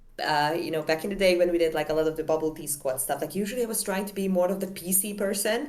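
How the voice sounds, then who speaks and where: Very fast speech from a woman at a medium pitch with a non-native accent. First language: not English. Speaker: festival recap co-host. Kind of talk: casual chat. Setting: live stream.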